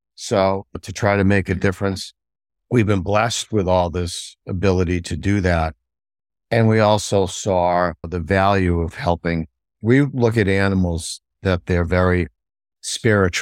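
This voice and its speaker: A man speaks with a very deep, low pitch. The recording is very clean with a silent background and a dry, close sound with no echo. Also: fairly even intonation, fairly slow pace. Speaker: pet food company founder. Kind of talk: interview conversation.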